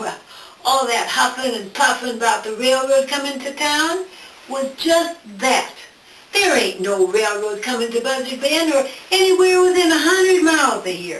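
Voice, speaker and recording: A woman uses a put-on character voice with high pitch and very wide pitch swings. She drawls at a moderate pace. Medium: solo performance. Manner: folksy, drawling.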